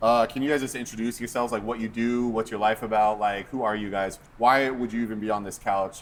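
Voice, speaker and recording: With an American accent and an unremarkable speaking voice, a man talks at a fairly quick pace in a medium pitch with fairly even intonation. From United States. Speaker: pastor, podcast host. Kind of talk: casual chat.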